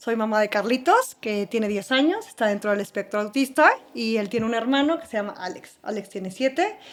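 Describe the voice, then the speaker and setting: In an unremarkable speaking voice, the speaker goes at a fairly quick pace with hardly any pauses and ordinary pitch variation. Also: woman, fairly high pitch for a woman. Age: 30s. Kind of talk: personal testimony in podcast interview.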